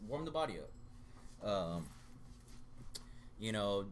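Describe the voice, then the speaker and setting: A man talks at a fairly low pitch with lively intonation. Audible room echo surrounds his voice. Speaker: jiu-jitsu practitioner. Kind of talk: casual chat.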